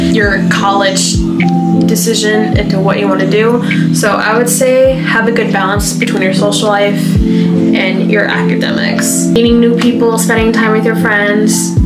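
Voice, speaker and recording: Over loud background music, a woman speaks at a moderate pace. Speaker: vlogger. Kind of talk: casual advice vlog. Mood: friendly, upbeat. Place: home room. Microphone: camera far.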